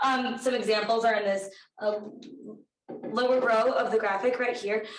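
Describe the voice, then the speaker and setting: With audible room echo, a woman talks at a moderate pace in a fairly high pitch. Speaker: undergraduate research intern. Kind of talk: research presentation. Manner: hesitant, many fillers.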